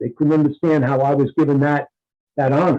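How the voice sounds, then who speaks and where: The tone is dark and mellow, with a dry, close sound and no echo. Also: man. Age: 70s. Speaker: Vietnam veteran, veterans' organization county commander. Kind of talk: casual chat.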